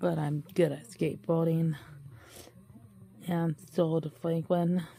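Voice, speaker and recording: At a very slow pace, a woman speaks in a dark, mellow tone, fairly low in pitch, with fairly even intonation. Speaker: children's story reader. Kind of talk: read-aloud picture book story with commentary. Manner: casual, chatty.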